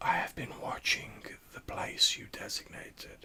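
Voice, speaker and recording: In a put-on character voice, a man whispers with a hissing edge at a moderate pace. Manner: whispered, hissing.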